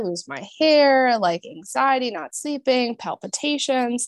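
A woman's plain, everyday voice with an American accent, lively intonation and a fairly slow pace, dry and close with no echo, on a very clean recording with a silent background. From Minnesota. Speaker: naturopathic doctor. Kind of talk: casual chat.

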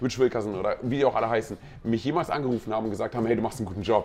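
A man's voice with ordinary pitch variation, music playing in the background. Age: 40s. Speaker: pastor. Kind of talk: casual chat. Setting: on location at a pastors' conference.

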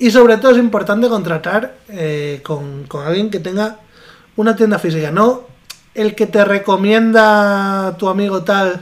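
Speaking fairly slowly, a man uses a high-pitched voice. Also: ordinary pitch variation. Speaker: podcast co-host. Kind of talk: casual chat.

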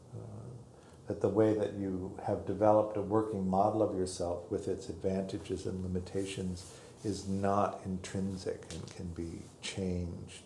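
Very deep and low in pitch, a man speaks at a fairly slow pace with a dark, mellow tone, somewhat breathy and with monotone, flat intonation. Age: 60s. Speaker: meditation teacher. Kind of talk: dharma talk. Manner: halting.

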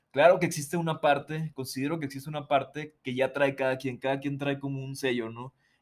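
A man with an ordinary speaking voice uses a fairly high pitch and fairly even intonation at a fairly quick pace. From Mazatlán, Sinaloa, Mexico. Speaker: musician. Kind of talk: casual interview chat.

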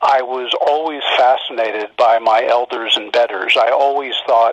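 Dry and close with no echo, a man in an ordinary speaking voice speaks at a fairly slow pace, with medium pitch and fairly even intonation. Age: 50s. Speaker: crisis communications consultant and author. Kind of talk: interview.

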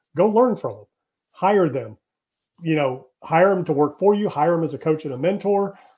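This man has a normal speaking voice, moving at a fairly quick pace with ordinary pitch variation. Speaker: real estate developer and business coach. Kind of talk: interview.

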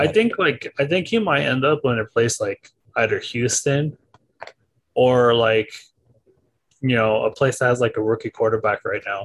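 The man leaves long, frequent pauses while keeping a moderate pace. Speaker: podcast co-host. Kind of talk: casual chat.

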